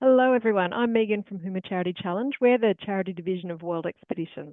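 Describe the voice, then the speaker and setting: Speaking at a very fast pace, a woman talks with an Australian accent. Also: medium pitch for a woman, ordinary pitch variation. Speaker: charity travel organiser. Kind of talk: webinar presentation.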